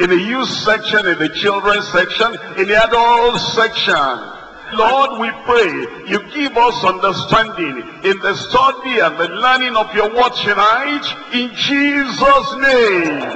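A man with a high pitch talks at a fairly slow pace. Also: ordinary pitch variation. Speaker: pastor. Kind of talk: prayer. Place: church. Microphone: handheld.

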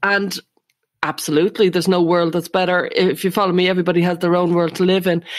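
In an Irish accent, a woman talks very fast at a fairly low pitch, monotone and flat in intonation and very even in loudness. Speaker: psychotherapist and podcast co-host. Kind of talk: interview.

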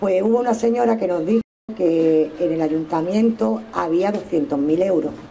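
Over light background noise, a woman talks in a fairly low pitch that makes very wide swings. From Andalusia. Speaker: local politician, mayoral candidate; local politician, candidate. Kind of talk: political rally speech. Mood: warm, anecdotal. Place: street. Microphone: headset.

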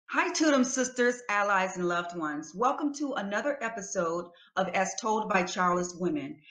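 A woman's medium-pitched voice with hardly any pauses, in audible room echo over a quiet background. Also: moderate pace. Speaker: talk show host and researcher. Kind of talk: show introduction. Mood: calm, earnest. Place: home room. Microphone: webcam.

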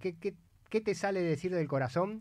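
The background is quiet as a man speaks at a moderate pace. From Argentina. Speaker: radio host. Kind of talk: radio interview. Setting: studio. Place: studio. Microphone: studio mic.

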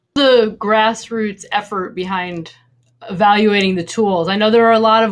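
Here is a woman with an unremarkable speaking voice. She keeps a moderate pace and fairly even intonation. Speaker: event moderator. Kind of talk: panel discussion. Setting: video call.

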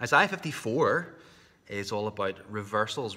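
A man's bright, sharp tone. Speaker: preacher. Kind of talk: sermon. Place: church. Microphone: webcam.

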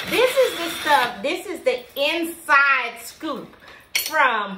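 A woman speaks in a raised, projected voice over noticeable background noise. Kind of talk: casual vlog chat. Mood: playful complaining. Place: office. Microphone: camera far.

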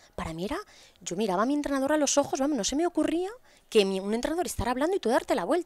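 Speaking very fast, a woman with a high pitch and very wide pitch swings is heard in a dry recording with no echo and a quiet background. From Spain, Asturias. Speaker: podcast guest. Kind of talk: casual interview. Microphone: headset.

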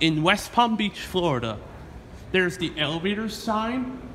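Light background noise sits behind a man whose raised, projected voice has lively intonation. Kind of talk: casual narration commentary. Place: station. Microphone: phone near.

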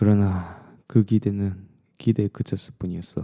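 Dramatic and dark, mellow in tone, a voice with a Gyeongsang accent comes through a dry, close sound with no echo on a very clean recording with a silent background. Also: man. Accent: Gyeongsang dialect (southern Korea). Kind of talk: bedtime storytelling ASMR. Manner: dramatic, shifting into a pleading voice for the daughter's lines.

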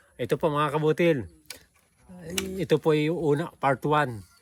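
Music plays in the background as a man speaks at a fairly slow pace. The sound is dry and close, with no echo. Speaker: vlogger interviewer. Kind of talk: casual respectful interview. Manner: animated; polite, using 'po'.

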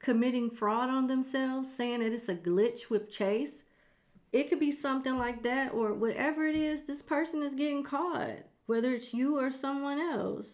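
In front of a quiet background, a woman speaks at a high pitch with ordinary pitch variation. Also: moderate pace. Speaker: tarot reader. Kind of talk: tarot reading commentary. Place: home room. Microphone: studio mic.

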